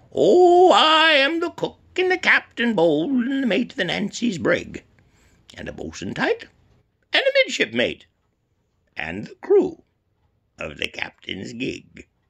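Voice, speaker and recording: Using a put-on character voice, the speaker goes at a fairly slow pace in a sing-song way, with long, frequent pauses. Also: man, extremely high pitch for a man. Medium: read story. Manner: singsong, minor key.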